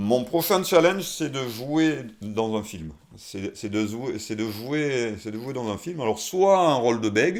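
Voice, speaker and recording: At a very slow pace, a man speaks in a medium-pitched voice. His pitch swings very widely. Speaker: person who stutters, singer and naturopath. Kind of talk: interview answer. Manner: slightly hesitant, repeats words, occasional stutter.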